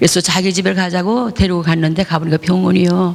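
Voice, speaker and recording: Noticeable background noise and audible room echo are both present in this clip. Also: woman. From Gangwon Province, South Korea. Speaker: pastor. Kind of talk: testimony. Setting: church.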